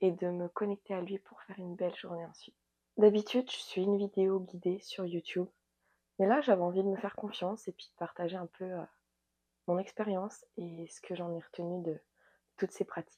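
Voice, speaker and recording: A woman with a dark, mellow tone talks at a fairly quick pace and medium pitch, with fairly even intonation and big swings in loudness. The sound is dry and close with no echo, and her pauses are long and frequent. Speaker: yoga and wellness coach. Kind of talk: guided yoga session.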